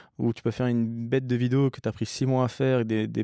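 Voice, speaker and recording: Speaking at a moderate pace and medium pitch, a man has a dark, mellow tone and monotone, flat intonation. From English-speaking country, moved to France at 10. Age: 30s. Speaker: bike shop owner. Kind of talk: podcast interview. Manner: casual, hesitant with fillers.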